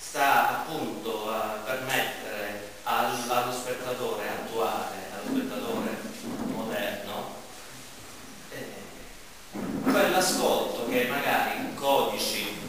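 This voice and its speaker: A man speaks at a very slow pace, leaving long, frequent pauses. Strong room echo surrounds him, and background noise is noticeable. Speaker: speaker. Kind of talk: public talk on theatre. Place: stage. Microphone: camera far.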